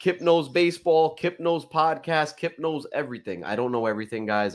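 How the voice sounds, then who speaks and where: A man with a fairly high pitch, lively intonation, and a moderate pace. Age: 30s. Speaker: podcast co-host and streamer. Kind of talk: casual podcast chat. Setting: live stream with chat. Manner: animated.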